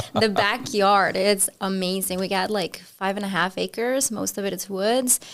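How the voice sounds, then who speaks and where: At a moderate pace with hardly any pauses, a woman speaks at a medium pitch with fairly even intonation. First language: Spanish. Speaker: podcast guest. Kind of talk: casual chat.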